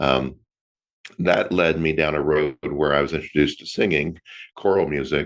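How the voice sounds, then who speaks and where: Here is a man with an American accent and a very deep, low pitch. Vocal fry runs through his voice, and the background is quiet. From Florida. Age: 50s. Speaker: actor. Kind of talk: interview.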